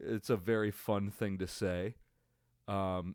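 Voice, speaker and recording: On a very clean recording with a silent background, a man talks at a very slow pace with a dry, close sound and no echo. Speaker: sports fan podcaster. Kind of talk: casual solo reaction commentary. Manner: halting, many fillers.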